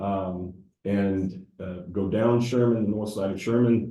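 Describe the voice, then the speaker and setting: A man with a Southern US accent speaks at a moderate pace in a very deep, low voice that is dark, mellow and somewhat breathy, with fairly even intonation and audible room echo. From US South. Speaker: civil engineer. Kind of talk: public presentation. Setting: council meeting room with audience. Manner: hesitant with many fillers.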